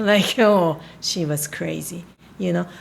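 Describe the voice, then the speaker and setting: In a Japanese accent, a woman speaks at a fairly slow pace. Noticeable background noise is present. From Japan, Tokyo. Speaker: spiritual healer. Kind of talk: casual chat. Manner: halting.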